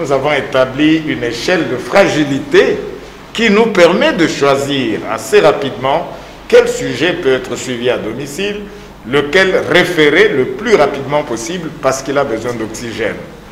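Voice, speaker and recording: Against light background noise and audible room echo, a man with a fairly high pitch speaks with lively intonation. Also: fairly slow pace. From DR Congo. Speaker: medical professor and lung specialist; medical professor. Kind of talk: TV interview. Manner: formal. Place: studio.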